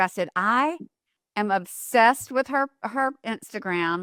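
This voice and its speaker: Bright and sharp in tone, a woman with a Southern US accent speaks at a fairly high pitch with lively intonation and a dry, close sound with no echo. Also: very clean recording, silent background. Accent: Southern US accent like guest's. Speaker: podcast host. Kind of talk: casual interview chat. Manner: animated.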